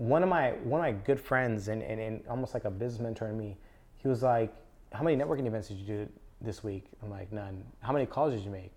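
Speaking very fast, a man with an American accent uses a medium-pitched voice with ordinary pitch variation. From Southern California (Antelope Valley, LA County). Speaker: marketing agency owner. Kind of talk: casual interview. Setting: co-working space studio.

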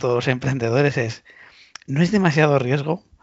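This man's delivery is fairly quick. His pitch shifts in an ordinary way. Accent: Spanish. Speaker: podcast host. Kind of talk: interview. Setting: remote call.

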